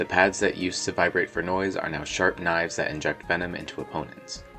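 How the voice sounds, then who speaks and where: Music plays in the background as a man talks at a fairly quick pace. His pitch is very deep and low, with ordinary variation. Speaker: fan artist and video creator. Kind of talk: video essay voiceover.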